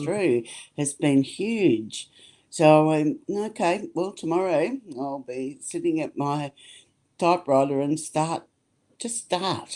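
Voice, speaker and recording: Speaking with an Australian accent, a woman uses a very deep, low voice with a dark, mellow tone and lively intonation, moving at a very slow pace with long, frequent pauses on a very clean recording with a silent background. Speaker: sound healer. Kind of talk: interview answer.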